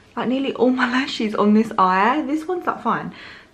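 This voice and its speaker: With lively intonation, a woman speaks at a fairly quick pace. Audible room echo and noticeable background noise fill the recording. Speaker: parenting vlogger. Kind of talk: casual vlog talk to camera.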